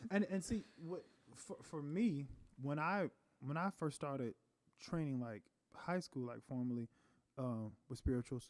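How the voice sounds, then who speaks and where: Pausing long and often, a man with an American accent speaks at a fairly high pitch with lively intonation. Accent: Southern accent, noticed by Northerners. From North Carolina, US South. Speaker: trained singer. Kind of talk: casual chat. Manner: fast when relaxed.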